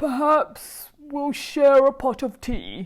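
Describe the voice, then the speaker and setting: A woman puts on a character voice with a high pitch. She speaks very slowly with fairly even intonation. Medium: read story. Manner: gentle, kindly.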